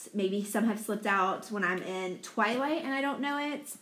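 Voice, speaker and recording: Noticeable background noise sits behind a woman's voice. She talks at a fairly quick pace with ordinary pitch variation. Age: 40s. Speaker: podcast co-host. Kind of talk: casual chat. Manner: loud.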